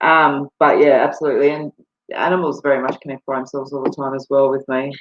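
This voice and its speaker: A woman is speaking. She has an Australian accent. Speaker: psychic medium. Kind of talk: live-stream psychic readings. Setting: live video stream from home computer. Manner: casual, many fillers.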